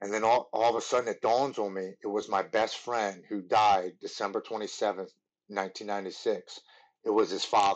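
Over a quiet background, a man speaks at a moderate pace. His pitch is fairly low and his intonation monotone and flat. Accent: Baltimore. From Baltimore, Maryland. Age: 30s. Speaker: former Marine and MMA fighter in recovery. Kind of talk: personal testimony in interview.

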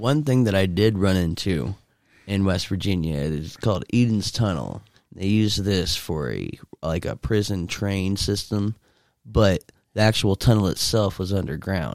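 Fairly low in pitch, a man speaks in a plain, everyday voice at a fairly slow pace with ordinary pitch variation. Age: 20s. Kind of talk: casual chat.

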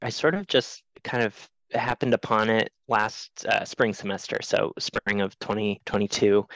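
A man with an American accent speaks at a fairly slow pace with hardly any pauses and fairly even intonation. His medium-pitched, unremarkable speaking voice has a dry, close sound with no echo. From US Northeast, rural Maine. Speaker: production designer. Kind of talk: interview conversation.

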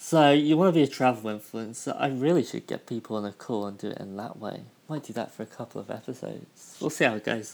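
A very fast British-accented man with a medium pitch and ordinary pitch variation, on a very clean recording with a silent background. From United Kingdom. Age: 20s. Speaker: podcast host. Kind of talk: casual solo podcast monologue.

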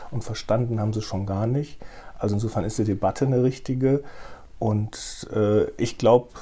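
A somewhat breathy man's voice, dark and mellow in tone, with fairly even intonation at a moderate pace. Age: 50s. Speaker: newspaper editor-in-chief. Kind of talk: interview.

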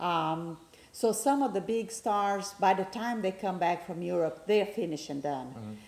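In a Brazilian accent, a woman speaks at a moderate pace with a medium pitch. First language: Portuguese. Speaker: guest, football fan. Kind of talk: casual interview chat about soccer.

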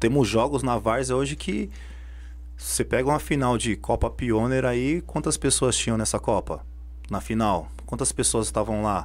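A man's fairly low voice with very wide pitch swings, very even loudness and a moderate pace. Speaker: football referee. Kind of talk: casual chat. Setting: studio.

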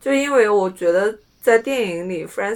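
A woman with an unremarkable speaking voice, medium pitch and moderate pace. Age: 20s. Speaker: podcast co-host. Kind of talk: casual chat.

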